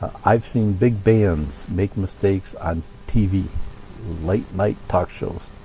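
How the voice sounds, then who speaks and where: A man talks very slowly with ordinary pitch variation, noticeable background noise around him. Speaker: music teacher giving band advice. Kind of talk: tutorial. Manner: casual, with many fillers.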